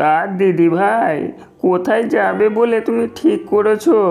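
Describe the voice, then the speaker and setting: In a cartoonish character voice, a man talks at a fairly slow pace with a high pitch. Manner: whining.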